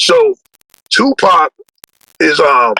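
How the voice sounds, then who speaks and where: A man speaks in dry, close sound with no echo. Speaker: rapper. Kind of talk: casual chat. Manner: loud; animated.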